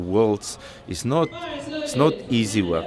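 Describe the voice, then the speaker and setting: A man's medium-pitched voice over music in the background. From South Africa. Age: 60s. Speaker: powerlifter. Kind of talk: interview. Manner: halting.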